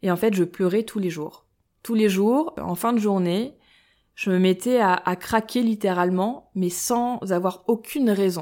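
A woman's dark, mellow voice at medium pitch, fairly slow and with ordinary pitch variation, on a very clean recording with a silent background. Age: 30s. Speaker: breast cancer gene carrier sharing her story. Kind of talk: personal testimony interview. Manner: hesitant, many fillers.

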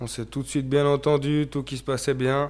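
The man's voice sits at a medium pitch. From Switzerland, Valais (Chablais). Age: 20s. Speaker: entrepreneur. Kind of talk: casual interview. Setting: company workshop.

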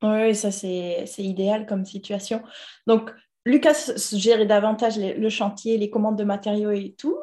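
A woman's fairly high voice with a dark, mellow tone, fairly even intonation and a fairly slow pace. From Toulouse, southern France. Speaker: podcast host, guest house owner. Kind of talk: interview.

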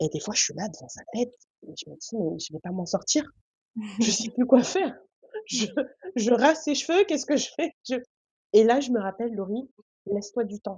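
A woman with a fairly high voice speaks with long, frequent pauses, her pitch swinging very widely and her loudness rising and falling sharply. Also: moderate pace. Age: 20s. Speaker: laboratory worker. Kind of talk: casual chat.

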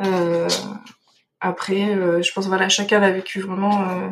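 The woman's intonation is monotone and flat. Her pace is moderate. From France, Dordogne. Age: 20s. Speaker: veterinarian. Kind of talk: interview. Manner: hesitant, many fillers.

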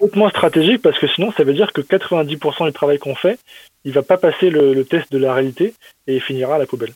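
With an unremarkable speaking voice, a man talks at a fairly quick pace and a fairly high pitch. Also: ordinary pitch variation. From eastern France, Metz. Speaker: machine learning researcher in finance. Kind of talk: interview.

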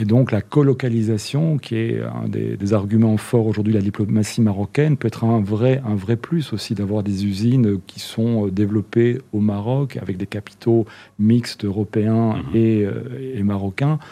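At a fairly slow pace, a man talks with fairly low pitch, a dark, mellow tone, and ordinary pitch variation. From Netherlands. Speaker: chamber of commerce president. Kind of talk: interview.

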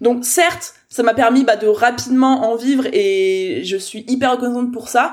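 A woman speaks at a fairly slow pace in a high voice with ordinary pitch variation. There is noticeable background noise. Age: 20s. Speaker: business coach. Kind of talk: interview. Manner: animated.

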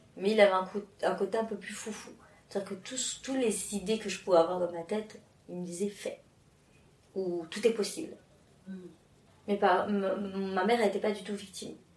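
There is noticeable background noise behind a woman speaking at medium pitch with fairly even intonation. Her loudness swings widely, and she leaves long, frequent pauses. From France and Mauritius. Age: 30s. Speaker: interview guest. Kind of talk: casual interview. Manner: halting, many fillers and repetitions.

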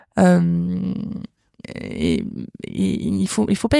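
A woman's dark, mellow tone in a dry, close sound with no echo, on a very clean recording with a silent background. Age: 30s. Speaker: cancer survivor and prevention project founder. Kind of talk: interview testimony. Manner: halting.

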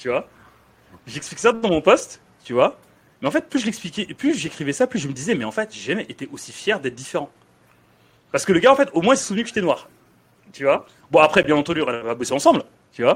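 Pitched high, a man talks at a very fast pace with very wide pitch swings, broken up by long, frequent pauses. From Senegal, raised in France from age 9. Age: 30s. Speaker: podcast host. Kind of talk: podcast interview. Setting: in guest's dry-cleaning shop.

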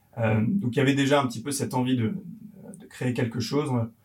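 A man with a medium pitch talks amid audible room echo. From France, Yvelines. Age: 30s. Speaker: entrepreneur, company co-founder. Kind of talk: casual interview. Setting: coworking space in Paris. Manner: halting, many fillers and repetitions.

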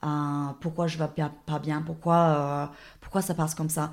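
This woman speaks with an Australian accent. Her pitch is fairly low. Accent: Australian-accented French, non-native. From Australia (Dubbo, rural New South Wales). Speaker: guest. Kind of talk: casual interview. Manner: hesitant, halting with fillers.

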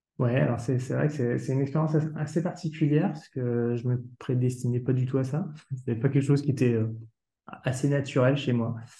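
This man's voice has a dark, mellow tone and is somewhat breathy. He talks at a fairly quick pace. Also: medium pitch for a man, fairly even intonation. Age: 30s. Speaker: home care service director. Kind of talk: casual interview. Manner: halting, repeats words.

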